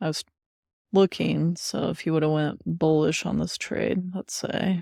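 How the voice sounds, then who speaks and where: Quiet, fairly slow speech from a woman, fairly low in pitch with a dark, mellow tone. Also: dry, close sound with no echo. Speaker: crypto trader and streamer. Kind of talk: live trading commentary. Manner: quiet, low voice; casual, thinking aloud.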